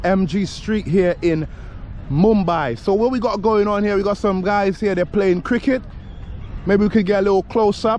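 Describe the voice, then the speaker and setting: Dry sound with no echo and light background noise. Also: man. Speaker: travel vlogger. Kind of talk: casual vlog chat. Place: open country. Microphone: phone near.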